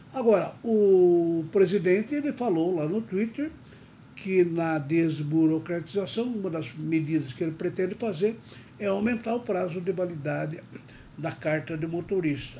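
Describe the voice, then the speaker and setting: This man talks fairly slowly in a high voice. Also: ordinary pitch variation. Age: 70s. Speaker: tax and business news commentator. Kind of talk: news commentary. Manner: conversational.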